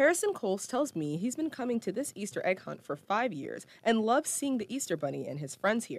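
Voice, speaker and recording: Speaking very fast with vocal fry, a woman's fairly high voice swings very widely in pitch. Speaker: TV news reporter. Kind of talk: news report. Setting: on location at event.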